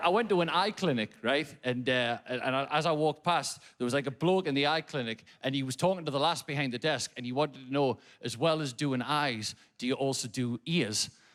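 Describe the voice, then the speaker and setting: With a slight Geordie accent, a man speaks at a fairly quick pace and a fairly high pitch, with ordinary pitch variation and hardly any pauses. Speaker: comedian. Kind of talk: stand-up. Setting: stage with audience. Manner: animated.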